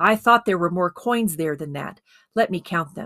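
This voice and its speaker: A woman's strained, put-on character voice, fairly low in pitch, at a moderate pace with ordinary pitch variation and big swings in loudness. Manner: constrained, tightly controlled.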